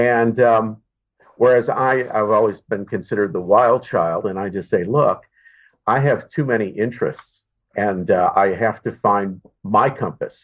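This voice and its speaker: A man at a medium pitch, with ordinary pitch variation and a fairly slow pace. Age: 60s. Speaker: entrepreneur and professional speaker. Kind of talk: podcast interview. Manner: halting.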